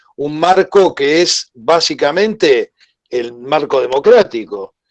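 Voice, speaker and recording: Very slowly, a man speaks at a fairly high pitch with lively intonation, in a dry, close sound with no echo. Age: 60s. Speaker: commission member and doctor. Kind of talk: virtual debate. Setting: video call.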